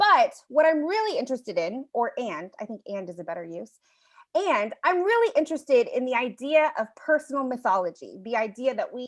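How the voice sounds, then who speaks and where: A woman's high voice at a fairly quick pace, with very wide pitch swings and big swings in loudness. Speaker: storyteller and workshop leader. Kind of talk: online workshop presentation.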